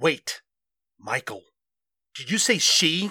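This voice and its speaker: A raspy put-on character voice sits at a middle pitch. Its tone is stern and nervous. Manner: stern but nervous.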